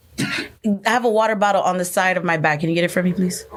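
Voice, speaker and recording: A woman with an American accent speaks as noticeable noise sounds in the background. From New York. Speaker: marketing professional. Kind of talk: casual interview. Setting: live show.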